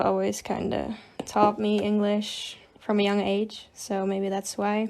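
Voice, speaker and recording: Speaking with a slight Dutch accent, a woman holds a medium pitch in a monotone, flat intonation. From Netherlands. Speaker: digital artist. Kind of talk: casual chat. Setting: livestream.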